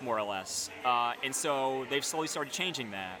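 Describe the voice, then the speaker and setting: Over noticeable background noise, a voice with an American accent moves at a moderate tempo. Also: man. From upstate New York. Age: 30s. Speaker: beer writer. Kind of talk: casual interview. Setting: brewery taproom, rain in background.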